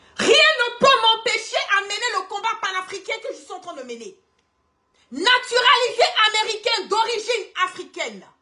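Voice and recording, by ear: A woman speaks at a moderate pace in an extremely high pitch. Her tone is bright and sharp, with big pitch swings.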